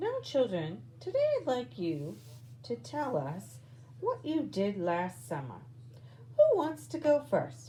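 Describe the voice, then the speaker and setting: A female-sounding voice does a put-on character voice with a gentle tone and fairly low pitch, over clear background noise. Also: fairly slow pace. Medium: read story. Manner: gentle, patient.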